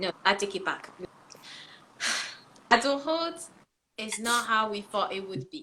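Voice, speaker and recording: Speaking at a fairly slow pace with long, frequent pauses, a woman with a fairly high pitch makes very wide pitch swings and big swings in loudness. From France, then England. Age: 20s. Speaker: livestream host. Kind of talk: casual live discussion. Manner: animated.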